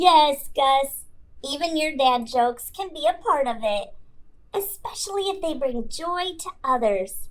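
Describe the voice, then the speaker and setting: Putting on a character voice, a woman speaks at a fairly slow pace with a high pitch. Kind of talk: children's ministry podcast talk. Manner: warm, encouraging.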